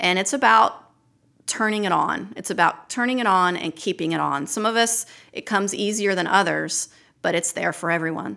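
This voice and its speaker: The tone is bright and sharp, with vocal fry, at a moderate pace. The recording is very clean, with a silent background. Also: woman, medium pitch for a woman. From Maryland, Baltimore. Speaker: naturalist and wildlife educator. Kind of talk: casual interview. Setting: on site at outdoor venue.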